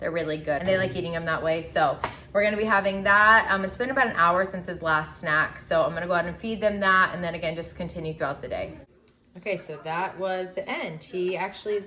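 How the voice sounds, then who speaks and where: A woman's fairly low voice races along very fast, its pitch varying in an ordinary way. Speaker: mom vlogger. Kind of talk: casual vlog narration. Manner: casual, filler-heavy.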